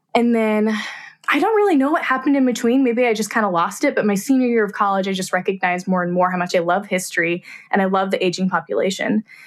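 A woman with an American accent, very fast, at a medium pitch with ordinary pitch variation and very even loudness. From Kansas, US Midwest. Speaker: portrait photographer. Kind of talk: casual chat.

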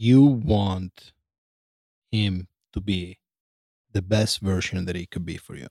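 A man with an Italian accent, fairly low in pitch and dark, mellow in tone, at a very slow pace with long, frequent pauses and ordinary pitch variation. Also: big swings in loudness, dry, close sound with no echo. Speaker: host's partner giving advice. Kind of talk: casual chat. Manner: halting.

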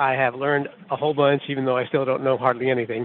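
In an American accent, a man speaks at a medium pitch and a very fast pace, his intonation monotone and flat. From US Midwest, Iowa. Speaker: truck driver, caller. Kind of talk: recorded voicemail question.

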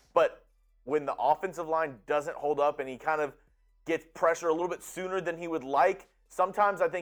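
Music plays in the background. The speaker, with an American accent, talks at a fairly quick pace in an animated tone. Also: man. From Houston area, Texas. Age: 20s. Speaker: sports show co-host/producer. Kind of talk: casual sports chat. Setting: studio.

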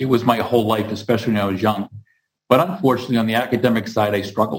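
Somewhat breathy and with an American accent, the speaker talks at a very fast pace. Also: man. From Massachusetts (Hingham, near Boston). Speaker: construction company CEO. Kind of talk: interview.

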